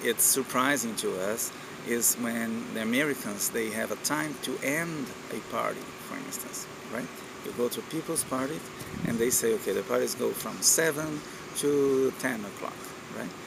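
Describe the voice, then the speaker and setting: A man speaks with a Portuguese accent at a medium pitch and ordinary pitch variation. His pace is fairly slow, with noticeable background noise. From Brazil. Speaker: university lecturer and lab manager. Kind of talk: informal talk to camera. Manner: hesitant, many fillers.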